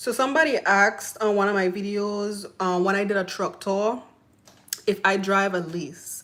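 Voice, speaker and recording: A woman's medium-pitched voice with a Virgin Islands accent. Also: ordinary pitch variation, moderate pace. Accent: Virgin Islands Caribbean. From US Virgin Islands, Saint Thomas. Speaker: truck driver and YouTuber. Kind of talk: live stream Q&A. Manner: casual, filler-heavy.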